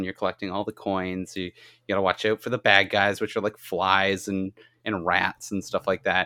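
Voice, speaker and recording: Recorded very cleanly against a silent background, a man with a fairly low pitch talks at a moderate pace in a bright, sharp tone, his flat monotone intonation heard in a dry, close sound with no echo. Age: 30s. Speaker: gaming podcast co-host. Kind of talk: casual chat.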